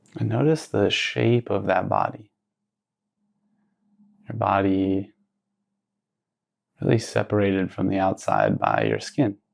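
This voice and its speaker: A man speaks at a fairly slow pace in a calm, soothing tone. Long pauses come often. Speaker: meditation guide. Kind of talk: guided meditation. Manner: slow, calm, soothing.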